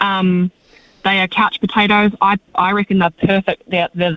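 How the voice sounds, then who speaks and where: A woman speaks at a medium pitch with a New Zealand accent. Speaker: greyhound rehoming worker. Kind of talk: radio interview.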